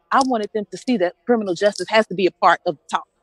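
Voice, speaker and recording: Music plays in the background as a woman talks in an American accent. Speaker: nurse, pastor and activist. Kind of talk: rally speech. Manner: fast; animated.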